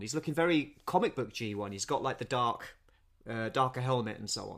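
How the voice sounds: On a very clean recording with a silent background, a man at medium pitch talks at a fairly quick pace with lively intonation.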